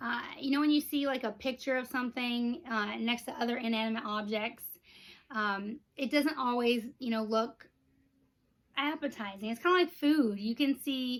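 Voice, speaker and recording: With ordinary pitch variation, a woman talks in a high voice at a moderate pace. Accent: American. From Texas. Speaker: Disney merchandise vlogger. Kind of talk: casual unboxing vlog. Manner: animated.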